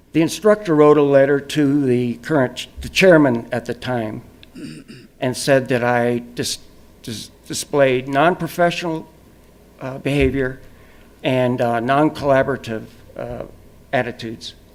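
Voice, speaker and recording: At a fairly slow pace, a man with a medium-pitched voice and ordinary pitch variation speaks with big swings in loudness and long, frequent pauses. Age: 60s. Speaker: public commenter at a college board meeting. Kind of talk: public comment. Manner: halting.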